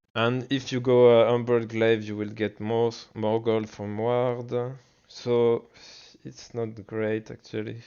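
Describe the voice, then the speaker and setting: Speaking with a French accent, a man talks at a very slow pace. His medium-pitched voice is monotone and flat. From France. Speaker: gaming streamer. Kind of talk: tutorial. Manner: halting.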